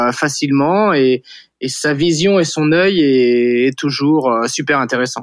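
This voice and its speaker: A man with an ordinary speaking voice talks at a fairly high pitch with ordinary pitch variation. The background is quiet. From western France, Vendée. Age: 40s. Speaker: startup founder. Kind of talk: interview.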